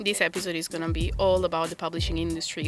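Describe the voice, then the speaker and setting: With music playing behind her, a woman talks fairly quickly. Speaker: podcast co-host. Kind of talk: casual podcast conversation.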